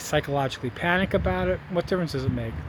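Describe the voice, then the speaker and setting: A man is speaking here. Noticeable background noise can be heard. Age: 60s. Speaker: video blogger on fossil fuel depletion. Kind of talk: casual vlog monologue. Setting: outdoors by a street.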